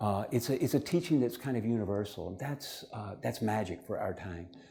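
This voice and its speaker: Speaking with an American accent at a fairly quick pace, a man of medium pitch has a dark, mellow, somewhat breathy tone, lively intonation and audible room echo. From United States. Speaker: spiritual teacher and lecturer. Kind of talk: lecture. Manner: fast.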